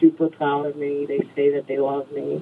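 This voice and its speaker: Here a woman talks at a fairly slow pace. Noticeable background noise is present. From New York State, rural. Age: 40s. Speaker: singer-songwriter. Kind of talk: casual interview.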